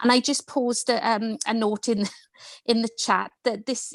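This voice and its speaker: A woman's fairly high voice with fairly even intonation, the sound dry and close with no echo and the background quiet. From Wales. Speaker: educator. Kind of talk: online panel discussion.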